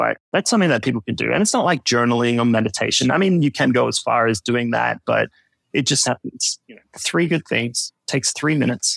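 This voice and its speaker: Fairly quick talk from a man with an Australian accent, the sound dry and close, without echo. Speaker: personal finance podcaster. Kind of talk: casual chat.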